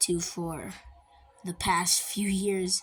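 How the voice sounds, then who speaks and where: Over music in the background, a woman uses a raspy, put-on character voice at a medium pitch. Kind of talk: game journal read-along. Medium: game stream. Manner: casual, wry.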